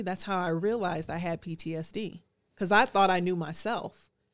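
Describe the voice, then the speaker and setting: A woman talks with fairly even intonation. She has a normal speaking voice. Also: very clean recording, silent background. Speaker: Air Force veteran, nonprofit founder. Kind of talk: casual interview chat.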